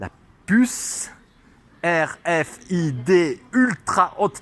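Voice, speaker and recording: A man's high-pitched voice with lively intonation. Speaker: religious vlogger. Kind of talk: religious monologue. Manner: loud.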